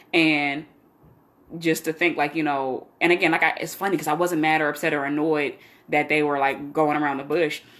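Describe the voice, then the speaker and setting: A woman's very deep, low voice, fairly quick and monotone with flat intonation, on a very clean recording with a silent background. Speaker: vlogger sharing personal life and faith updates. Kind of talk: casual livestream chat. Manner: fast.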